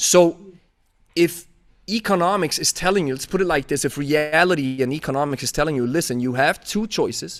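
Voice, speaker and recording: In a Swiss German accent, a man talks at a fairly quick pace with ordinary pitch variation on a very clean recording with a silent background. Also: fairly high pitch for a man. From Switzerland (German-speaking). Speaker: podcast host, kettlebell coach. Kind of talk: casual interview chat. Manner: animated.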